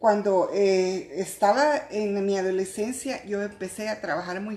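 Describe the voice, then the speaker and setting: A woman at medium pitch, speaking at a fairly slow pace. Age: 60s. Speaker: church fellowship member. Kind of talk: testimony. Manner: halting.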